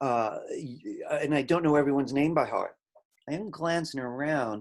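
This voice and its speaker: A man with an American accent and lively intonation over a quiet background. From Brooklyn, New York. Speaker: college instructor. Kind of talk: lecture. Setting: video call. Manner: fast.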